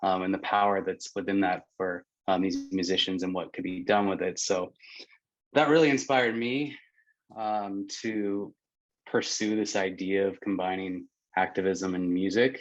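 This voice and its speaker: A man's normal speaking voice, fairly low in pitch with an American accent, at a moderate pace with ordinary pitch variation against a quiet background. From Pennsylvania. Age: 30s. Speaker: nonprofit founder. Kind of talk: panel discussion.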